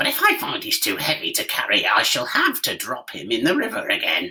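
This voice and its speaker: Someone uses a put-on character voice at a middle pitch and a fairly quick pace. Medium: read story.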